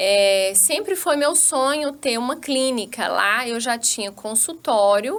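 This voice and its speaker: In a strong Minas Gerais accent, the speaker talks at a very slow pace with hardly any pauses. The pitch makes very wide swings. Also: woman, high pitch for a woman. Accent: strong Minas Gerais accent, still kept. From Brazil, Minas Gerais (Vale do Jequitinhonha / Vale do Aço). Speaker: physician. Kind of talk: podcast interview.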